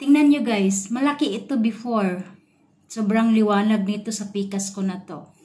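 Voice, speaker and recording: With an unremarkable speaking voice, a woman talks at a fairly high pitch and moderate pace, showing ordinary pitch variation and big swings in loudness. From Philippines. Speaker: beauty vlogger. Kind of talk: product demonstration tutorial. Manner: casual, chatty. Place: bathroom. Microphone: phone near.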